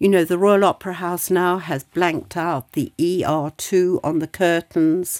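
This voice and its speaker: This very clean recording has a silent background and a dry, close sound with no echo. A woman talks at a fairly slow pace with a fairly low pitch. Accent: British. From Britain. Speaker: society council member. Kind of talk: conversational interview. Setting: studio.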